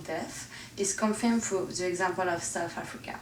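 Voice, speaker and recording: A woman talks at a fairly quick pace in a medium pitch with ordinary pitch variation. Noticeable background noise is present. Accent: French. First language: French. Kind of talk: educational presentation narration.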